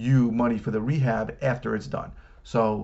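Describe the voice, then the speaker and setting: Fairly even intonation from a man talking at a medium speed. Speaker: coach. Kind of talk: casual advice talk. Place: office. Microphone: webcam.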